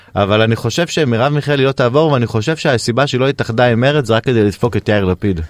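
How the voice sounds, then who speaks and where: A man at a very fast pace, his loudness very even. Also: medium pitch for a man, ordinary pitch variation, dry, close sound with no echo. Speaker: radio host. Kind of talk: casual chat. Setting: studio.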